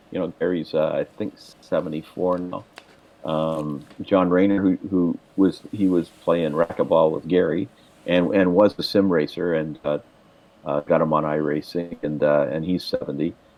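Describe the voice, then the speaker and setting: A man's very deep, low voice moves at a moderate pace with fairly even intonation, noticeable background noise behind it. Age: 70s. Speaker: podcast co-host, sim racing league organizer. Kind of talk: casual chat.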